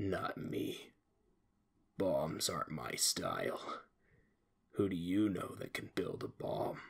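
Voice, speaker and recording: Pausing often and at length, the man talks at a fairly slow pace. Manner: calm, sinister, mocking.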